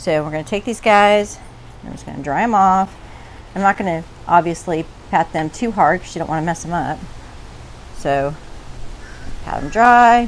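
With light background noise, a woman of fairly low pitch speaks at a moderate pace, her loudness swinging widely, her pitch variation ordinary and her pauses long and frequent. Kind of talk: cooking tutorial. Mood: relaxed, casual. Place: garden. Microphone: lapel.

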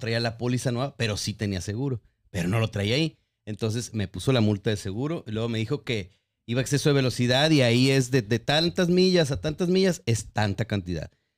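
A man at medium pitch with a plain, everyday voice, lively intonation and a fairly quick pace. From Guadalajara, Mexico. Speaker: podcast host. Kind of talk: casual chat.

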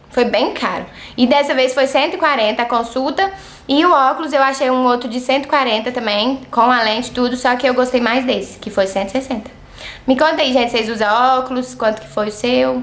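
This woman speaks with a high pitch. Her pitch variation is ordinary. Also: moderate pace. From Brazil, Minas Gerais. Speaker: vlogger. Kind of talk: casual vlog. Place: home room. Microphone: phone near.

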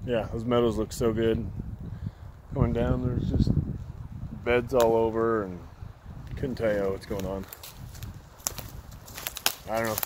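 At a fairly slow pace, a man speaks in a dry recording with no echo and noticeable background noise. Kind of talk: casual vlog chat. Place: forest. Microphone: phone near.

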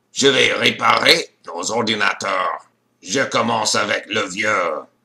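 Doing a cartoonish character voice, a man speaks raspy and fairly slow at a medium pitch. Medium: puppet.

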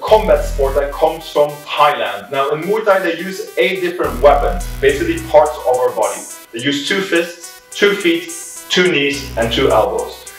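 A man's voice with audible room echo and faint music in the background. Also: moderate pace. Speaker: fitness instructor. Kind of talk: tutorial. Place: empty room. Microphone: camera far.

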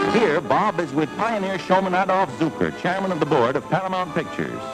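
Clear music plays in the background while the speaker talks at a fairly quick pace. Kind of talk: newsreel narration. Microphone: old recording.

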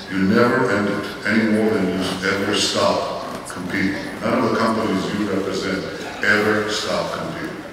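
Through strong room echo and noticeable background noise, a man with a fairly low pitch speaks at a moderate pace. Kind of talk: keynote speech. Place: hall. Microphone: camera far.

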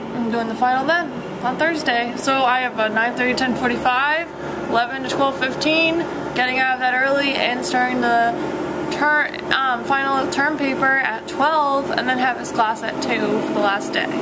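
Loud background noise fills the clip. The speaking pace is moderate. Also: woman. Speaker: college student vlogger. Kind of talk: casual vlog chat. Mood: slightly stressed, venting. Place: home room. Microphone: phone near.

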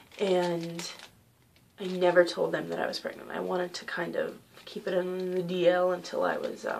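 Over light background noise, a woman speaks quietly at a moderate pace, with long, frequent pauses. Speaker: vlogger sharing personal story. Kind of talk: personal vlog, testimony. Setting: at home. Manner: quiet, hushed; hesitant, many fillers. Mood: calm, somewhat subdued. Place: home room. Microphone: webcam.

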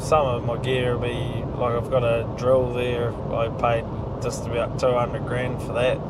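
Speech at a moderate pace comes through loud background noise, with a dry sound and no echo. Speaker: agricultural contractor. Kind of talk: interview answer. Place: car. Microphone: lapel.

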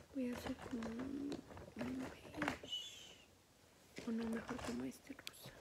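The speaker goes at a fairly slow pace over loud background noise. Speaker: hobby vlogger. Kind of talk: casual vlog chat. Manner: soft ASMR whisper, close to the mic. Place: home room. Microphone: phone near.

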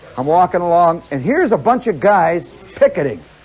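The man talks at a fairly quick pace. His pitch is high for a man. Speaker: storyteller performer. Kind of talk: comic storytelling monologue. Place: stage. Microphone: old recording.

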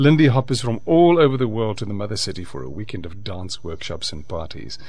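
The speaker is a man. He moves along at a fairly quick pace. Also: dry sound with no echo. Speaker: radio presenter. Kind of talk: radio interview. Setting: radio studio. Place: studio.

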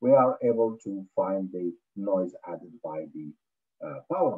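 This man's fairly low voice has a slightly husky edge and lively intonation.

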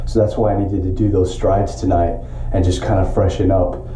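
Fairly even intonation comes through with audible room echo and light background noise. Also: man. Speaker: triathlete vlogger. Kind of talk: casual vlog chat. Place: home room. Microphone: phone near.

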